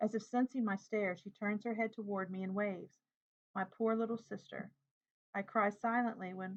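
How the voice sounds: The speaker uses a natural reading voice. Intonation stays fairly even over a quiet background.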